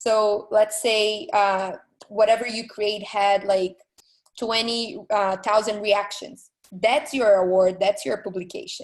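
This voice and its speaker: Very slowly and with fairly even intonation, a woman with a non-native accent speaks at a fairly high pitch. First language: not English. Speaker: art director panelist. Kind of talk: panel discussion. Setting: video call.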